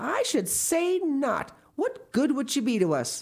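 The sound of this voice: A woman puts on a character voice, high-pitched and slightly mellow in tone. She speaks slowly with big pitch swings.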